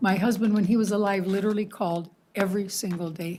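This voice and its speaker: At a moderate pace, a woman speaks with a dark, mellow, somewhat breathy tone and fairly even intonation on a very clean recording with a silent background. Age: 70s. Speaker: resident speaking at public comment. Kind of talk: public comment at council meeting.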